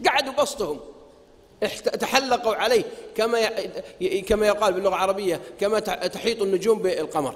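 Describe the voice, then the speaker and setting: A man with a high pitch speaks in an animated tone at a moderate pace. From Saudi Arabia. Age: 40s. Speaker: preacher; religious lecturer. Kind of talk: lecture. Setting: stage with audience. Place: hall. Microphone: podium.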